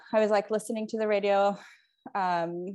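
A woman with a Puerto Rican accent speaks at a medium pitch in a flat, monotone delivery against a quiet background. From Puerto Rico. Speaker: mutual aid organizer. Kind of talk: interview.

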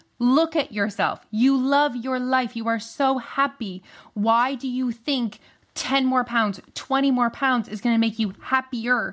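A woman's high pitch with a French Canadian accent, fairly slow pace and fairly even intonation, in a very clean recording with a silent background. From Canada. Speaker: weight loss coach. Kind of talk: casual interview chat.

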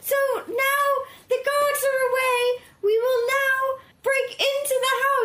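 Delivered in a put-on character voice at an extremely high pitch, the speech is monotone and flat, fairly slow, and broken by long, frequent pauses. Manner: scheming.

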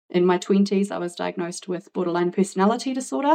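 A woman's medium-pitched voice with a New Zealand accent, at a fairly quick pace. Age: 40s. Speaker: podcast guest with ADHD. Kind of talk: interview testimony.

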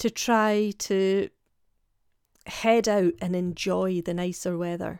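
Speaking at a very slow pace and medium pitch, a woman is heard on a very clean recording with a silent background and a dry, close sound with no echo. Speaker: podcast host, health coach. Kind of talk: solo podcast talk.

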